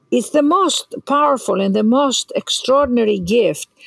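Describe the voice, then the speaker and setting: This woman speaks with a Greek accent at a moderate pace. Her pitch swings very widely, and the sound is dry and close with no echo. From Greece. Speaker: inspirational speaker and author. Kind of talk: casual interview conversation.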